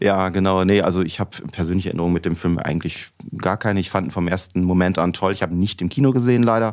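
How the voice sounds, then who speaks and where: In a very clean recording with a silent background, a man with a very deep, low pitch speaks very fast with fairly even intonation. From Rhineland, Germany. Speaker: musician. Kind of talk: casual chat.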